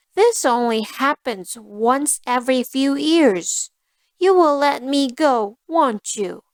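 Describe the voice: A woman's high, put-on character voice, slow in pace, with lively intonation and a dry, close sound with no echo.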